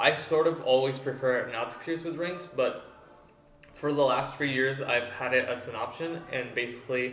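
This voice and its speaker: Audible room echo and noticeable background noise fill the recording. A man of medium pitch speaks at a moderate pace with fairly even intonation. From Mexico, Tijuana. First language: Spanish. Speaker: body piercer. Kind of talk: tutorial. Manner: halting, many fillers.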